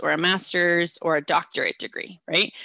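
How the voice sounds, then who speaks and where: A woman with a Midwestern American accent speaks in a bright, sharp tone at a moderate pace. The recording is dry and close, with no echo and a quiet background. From US Midwest, Ohio. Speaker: educational advisor. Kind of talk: presentation.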